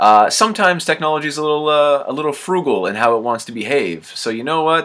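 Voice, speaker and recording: Using a normal speaking voice, a man with a Canadian accent talks at a fairly quick pace and fairly high pitch with lively intonation. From Canada. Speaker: podcast host. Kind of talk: casual interview chat.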